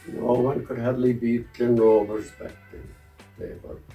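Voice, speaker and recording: With music in the background, a man in a West Cork accent speaks at a fairly slow pace with big swings in loudness. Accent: West Cork Irish. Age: 80s+. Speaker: hurley repairer and club committee member. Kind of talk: interview answer.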